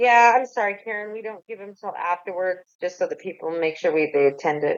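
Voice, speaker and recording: A woman talks at a medium pitch and a fairly quick pace. Her loudness swings widely. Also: ordinary pitch variation. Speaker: tax agency outreach officer. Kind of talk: online webinar Q&A. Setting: online webinar with chat. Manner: fast.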